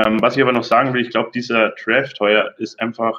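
A man talks at a medium pitch with fairly even intonation in a normal speaking voice. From southern Bavaria. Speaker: football fan, community member. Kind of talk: casual chat.

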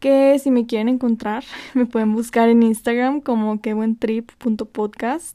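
At a fairly slow pace, a woman speaks with fairly high pitch, a dark, mellow tone and fairly even intonation. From northern Mexico. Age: 20s. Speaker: podcast host. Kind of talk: casual monologue.

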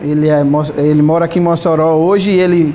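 Over noticeable background noise, a high-pitched man talks at a fairly quick pace. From Paraíba, Brazil (Catolé do Rocha). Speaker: restaurant owner and accordionist. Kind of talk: interview.

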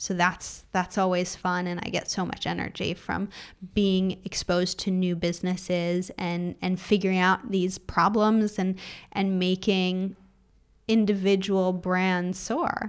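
A woman with a Californian accent and monotone, flat intonation, in a very clean recording with a silent background. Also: medium pitch for a woman, fairly slow pace. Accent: American (California). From US, Los Angeles. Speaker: e-commerce consultant. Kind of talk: interview.

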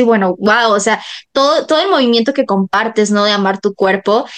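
A woman speaks at a fairly quick pace in a Mexican accent over a quiet background. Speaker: podcast host. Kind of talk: interview.

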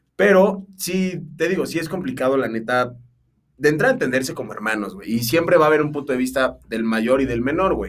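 With lively intonation, a man speaks. His pace is fairly quick. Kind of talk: casual chat.

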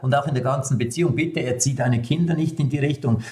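A man with a Swiss German accent speaks with ordinary pitch variation. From eastern Switzerland, rural. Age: 60s. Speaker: communication trainer and speaker. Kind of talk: interview.

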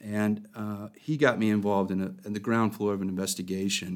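At a moderate pace, a man with an American accent speaks at a fairly low pitch in a very clean recording with a silent background. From Oklahoma. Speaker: attorney, former federal prosecutor. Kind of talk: interview. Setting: studio. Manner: halting, many fillers.

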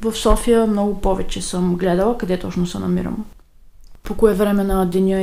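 The speech moves at a moderate pace over noticeable background noise, with audible room echo. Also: woman. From Bulgaria. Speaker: emigrant interviewee. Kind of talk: recorded interview answers.

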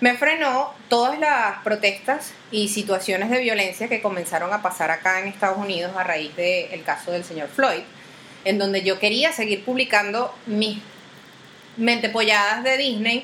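In a Venezuelan accent, a woman with a fairly high pitch talks at a moderate pace in an animated tone, with ordinary pitch variation, over noticeable background noise. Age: 30s. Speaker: podcast host. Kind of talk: casual monologue. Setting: video recording.

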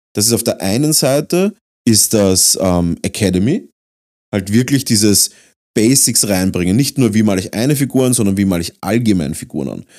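A man with an Austrian accent speaks at a moderate pace in a dark, mellow tone with lively intonation, on a very clean recording with a silent background. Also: fairly low pitch for a man. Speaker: podcast host and miniature painter. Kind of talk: casual chat.

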